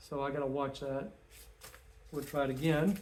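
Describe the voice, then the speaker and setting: Amid noticeable background noise and audible room echo, the speaker talks in a monotone, flat intonation. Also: man. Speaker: home gardener and chicken keeper. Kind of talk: casual video tutorial. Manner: casual, informal.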